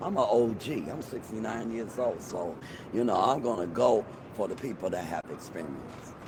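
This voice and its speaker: Audible room echo and noticeable background noise surround speech with lively intonation. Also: man, medium pitch for a man, moderate pace. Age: 60s. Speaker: street interviewee. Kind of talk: street interview. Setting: outdoors on the street.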